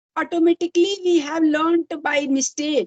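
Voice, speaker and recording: A woman talks with an Indian accent at a moderate pace. Her sound is dry and close, with no echo. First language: Hindi. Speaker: English learner and YouTuber. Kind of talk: casual chat. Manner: halting.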